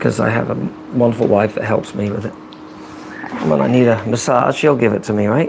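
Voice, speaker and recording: A man at a fairly quick pace and medium pitch, with ordinary pitch variation and long, frequent pauses, over noticeable background noise. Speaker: vlogger. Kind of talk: casual chat. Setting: live stream.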